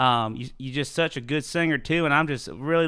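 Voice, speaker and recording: With a Southern US accent, a man talks in a fairly high pitch with a bright, sharp tone and ordinary pitch variation. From West Tennessee. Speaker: songwriter leading a writers' round. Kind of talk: casual live-streamed chat between songs. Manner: animated.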